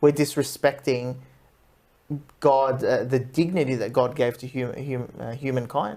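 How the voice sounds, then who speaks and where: A fairly slow pace with an Australian accent. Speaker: radio show host. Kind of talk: radio talk show interview. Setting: radio studio.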